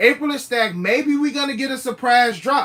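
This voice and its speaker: This man's raised, projected voice sits at an extremely high pitch, with a bright, sharp tone. He keeps a moderate pace. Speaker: sneaker livestream host. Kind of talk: casual livestream chat. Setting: live stream. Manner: repetitive, drops final consonants.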